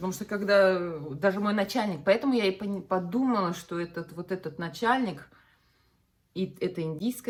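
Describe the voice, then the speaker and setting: A woman speaks at a moderate pace in a fairly low pitch. Her voice is somewhat breathy, and her intonation is lively. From Russia, Bashkortostan. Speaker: vlogger. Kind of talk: casual chat. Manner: animated.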